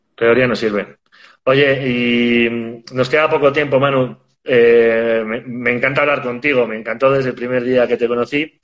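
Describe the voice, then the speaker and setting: At a fairly slow pace, a man speaks at a medium pitch in a monotone, flat intonation. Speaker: podcast host. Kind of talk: interview. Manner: hesitant, repeats words.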